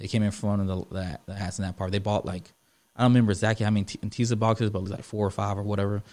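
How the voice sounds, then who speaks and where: With a Florida accent, a man talks at a very fast pace in a fairly low pitch and a monotone, flat intonation. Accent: fast Florida-style. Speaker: business co-founder guest. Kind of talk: casual interview chat. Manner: fast talker.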